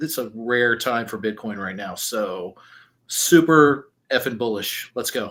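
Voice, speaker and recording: Speaking very slowly at a medium pitch, a man has an American accent and a bright, sharp tone with ordinary pitch variation. The recording is very clean, with a silent background. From Texas. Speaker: bitcoin enthusiast. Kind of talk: casual panel chat.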